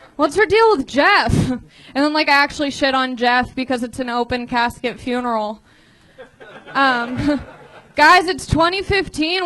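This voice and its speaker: A woman's raised, projected voice at a fairly slow pace, with noticeable background noise. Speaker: stand-up comedian workshopping a bit. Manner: naturally sarcastic tone, not monotone.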